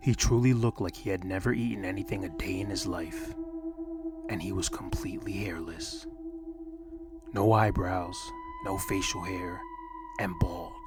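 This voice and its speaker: A man at a moderate pace, with long, frequent pauses and music in the background. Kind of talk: horror story narration, soft-spoken ASMR reading. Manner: soft-spoken, calm.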